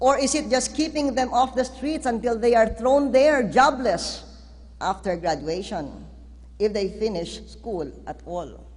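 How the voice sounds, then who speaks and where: Fairly high-pitched woman's voice with vocal fry, lively intonation and a fairly slow pace. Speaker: president delivering a national address. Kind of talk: formal political speech, state of the nation address.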